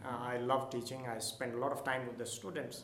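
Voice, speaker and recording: A man's voice comes through noticeable background noise and audible room echo. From Nepal. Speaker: school principal. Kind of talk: interview.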